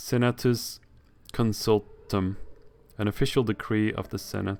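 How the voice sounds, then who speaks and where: With a non-native accent, a man talks at a fairly slow pace in a fairly low pitch and monotone, flat intonation. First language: not English. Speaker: video game streamer. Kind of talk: let's play commentary with reading aloud. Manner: halting, self-correcting while reading.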